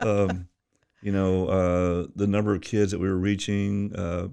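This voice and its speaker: Speaking at a fairly slow pace, a man with a very deep, low pitch and a dark, mellow tone keeps a monotone, flat intonation. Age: 70s. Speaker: youth pastor. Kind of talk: interview.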